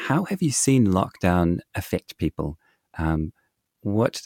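Heard in a dry, close recording with no echo, a man speaks in a dark, mellow tone. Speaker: podcast host. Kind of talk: casual chat. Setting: remote call across the ocean.

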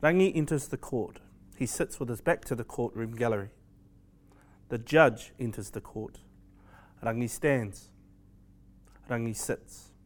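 Long pauses come often, keeping the delivery at a fairly slow pace. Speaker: stage direction narrator. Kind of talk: scripted narration.

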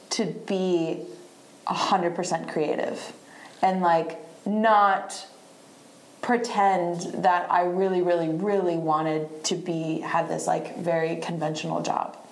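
A woman with an American accent speaks very slowly at a fairly low pitch, her intonation fairly even. Noticeable background noise and audible room echo surround her. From US Southeast (Virginia, North Carolina). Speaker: musician. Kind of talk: casual chat. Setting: live podcast recording at a venue.

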